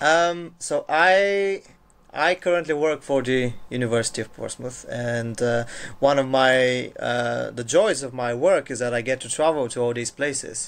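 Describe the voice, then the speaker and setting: With a Bulgarian accent, a man talks at a fairly slow pace, his medium pitch rising and falling in an ordinary way. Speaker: university international officer. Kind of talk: casual chat. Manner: halting.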